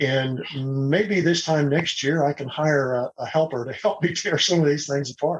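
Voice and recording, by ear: This man speaks at a moderate pace with a fairly high pitch, a slightly husky edge, and ordinary pitch variation.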